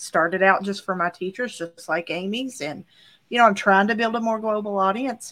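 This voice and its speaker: This woman has a medium-pitched voice, ordinary pitch variation and an unremarkable speaking voice. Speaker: co-host, tech coach. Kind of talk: casual chat.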